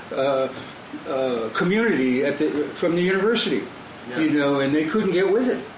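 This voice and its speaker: A man with a fairly high pitch speaks at a moderate pace with lively intonation and very even loudness. Noticeable background noise and audible room echo surround him. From Wisconsin, US Midwest. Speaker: jazz drummer and band leader. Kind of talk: casual interview. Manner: halting, many fillers.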